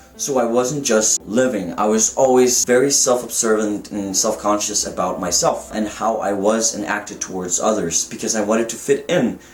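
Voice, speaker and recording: Noticeable background noise sits behind a man whose voice shows ordinary pitch variation. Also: medium pitch for a man, moderate pace, hardly any pauses. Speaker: vlogger documenting gender transition. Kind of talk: personal vlog.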